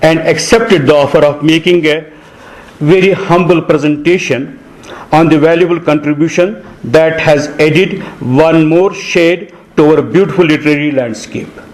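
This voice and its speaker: A man with a Kashmiri accent, fairly high-pitched for a man, at a fairly slow pace with ordinary pitch variation, plus audible room echo and noticeable background noise. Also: very even loudness. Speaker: panel speaker at book launch. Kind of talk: prepared speech. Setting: hall with audience. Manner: formal.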